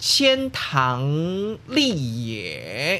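This man speaks with a Taiwanese accent at a fairly high pitch. His voice makes very wide pitch swings. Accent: Taiwanese Mandarin. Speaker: podcast host. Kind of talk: casual podcast monologue. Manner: casual, chatty, filler-heavy.

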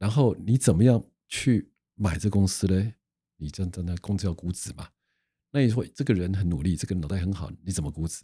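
A man's very deep, low, somewhat breathy voice in a dark, mellow tone, at a fairly quick pace with ordinary pitch variation, on a very clean recording with a silent background. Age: 60s. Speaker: patent attorney. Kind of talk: casual interview.

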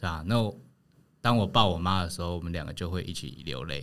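Ordinary pitch variation marks a man's speech at a fairly quick pace. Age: 30s. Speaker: family caregiver. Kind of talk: casual chat. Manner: hesitant, many fillers.

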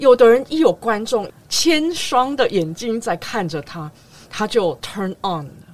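Over noticeable background noise, a woman with a fairly high pitch speaks very slowly, her pitch swinging very widely and her loudness varying greatly. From Taiwan, raised in Los Angeles from age nine. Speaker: concert pianist. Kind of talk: interview conversation. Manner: forceful, persuasive.

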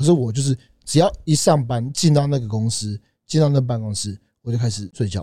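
At a very fast pace, a man with a medium-pitched, dark, mellow voice speaks somewhat breathily with lively intonation. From Taiwan, teens in Canada. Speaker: fitness brand founder. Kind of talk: casual chat. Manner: lively, expressive.

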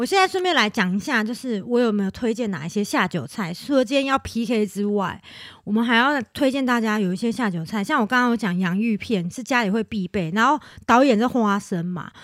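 With an ordinary speaking voice, a woman talks at a fairly quick pace, her fairly high pitch carrying lively intonation. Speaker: podcast co-host. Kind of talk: casual chat.

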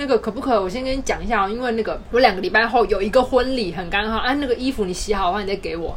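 Talking very fast, a woman is heard against noticeable background noise. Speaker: podcast co-host. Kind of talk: casual chat. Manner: animated.

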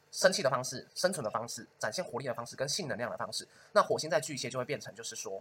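A man talks at a very fast pace. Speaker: podcast host and astrologer. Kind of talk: casual chat.

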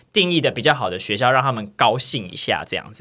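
A man's very fast, bright, sharp delivery at medium pitch with lively intonation, on a very clean recording with a silent background. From Taiwan, Tainan. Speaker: podcast host. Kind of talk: casual chat.

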